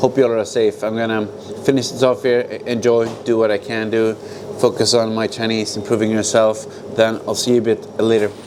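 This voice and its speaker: Over noticeable background noise, a man speaks with monotone, flat intonation. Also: medium pitch for a man, fairly quick pace. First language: Swedish. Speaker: vlogger. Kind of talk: casual vlog monologue. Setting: outdoors.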